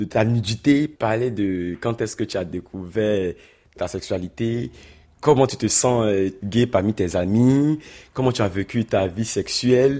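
The voice has a dark, mellow tone in a very clean recording with a silent background. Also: man. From Ivory Coast. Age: 20s. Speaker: asylum seeker. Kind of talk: interview testimony.

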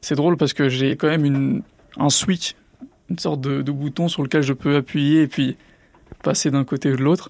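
The speech moves at a moderate pace with long, frequent pauses. The intonation stays fairly even. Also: man, fairly high pitch for a man. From Drancy, Seine-Saint-Denis, France. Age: 20s. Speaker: entrepreneur, former student. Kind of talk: interview testimony. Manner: uses filler words, hesitant.

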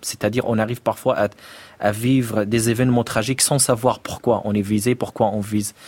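In an Arabic accent, a man speaks at a moderate pace and medium pitch with monotone, flat intonation. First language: Arabic (speaking French). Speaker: poet. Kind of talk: interview. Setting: studio. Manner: halting.

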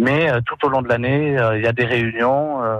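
A plain, everyday voice with fairly even intonation comes through in a dry, close sound with no echo. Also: man. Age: 20s. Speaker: charity volunteer. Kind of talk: radio testimony.

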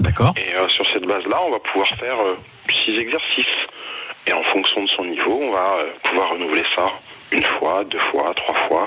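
Against noticeable background noise, a man speaks at a moderate pace with very even loudness and long, frequent pauses. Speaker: fitness coach. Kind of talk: tutorial. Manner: formal; methodical.

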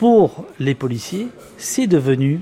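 There is noticeable background noise as a man with a fairly high pitch talks with very wide pitch swings. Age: 50s. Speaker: journalist and author. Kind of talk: interview.

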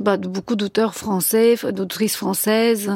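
A woman with a Bulgarian accent speaks fairly slowly at a medium pitch. Her dark, mellow voice has monotone, flat intonation. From Bulgaria, Sofia. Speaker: novelist. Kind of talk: radio interview.

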